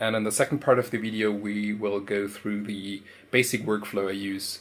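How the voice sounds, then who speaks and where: Speaking at a moderate pace with a non-native accent, a man uses a fairly low pitch and monotone, flat intonation. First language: not English. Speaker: 3D printing hobbyist. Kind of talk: tutorial. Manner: halting, with fillers.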